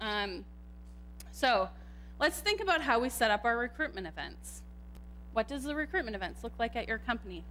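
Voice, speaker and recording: Audible room echo surrounds a woman speaking with a Canadian accent. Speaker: computer scientist and tech manager. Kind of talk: conference talk. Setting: stage with audience, microphone. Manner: loud.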